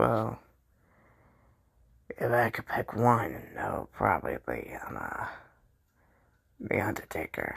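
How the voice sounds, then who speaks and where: A man uses a put-on character voice that is raspy and fairly low. He talks at a fairly slow pace, with long, frequent pauses. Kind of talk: comedic fan skit.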